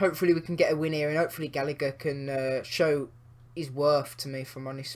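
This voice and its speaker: Fairly quick and fairly even in intonation, a man's speech moves along. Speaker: gaming YouTuber. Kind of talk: gameplay commentary. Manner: casual, with many fillers; quieter than usual.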